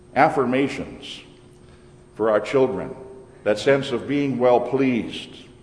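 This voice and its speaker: Medium-pitched male voice with fairly even intonation, audible room echo and noticeable background noise. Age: old. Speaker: pastor. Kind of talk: sermon.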